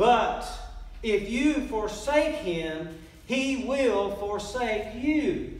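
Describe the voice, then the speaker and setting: A man's voice with audible room echo. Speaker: pastor. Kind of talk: sermon. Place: church. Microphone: camera far.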